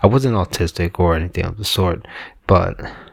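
The man's pitch is very deep and low. His voice is somewhat breathy. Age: 40s. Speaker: podcast host. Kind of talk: solo monologue, personal reflection.

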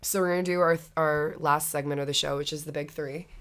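A woman speaks at a very fast pace. Her very deep, low pitch stays monotone and flat. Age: 19. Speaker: podcast co-host, college student. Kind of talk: casual chat.

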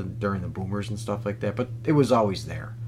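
A man at a medium pitch talks with audible room echo around him. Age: 40s. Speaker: comedy podcast host. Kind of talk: comedic casual chat.

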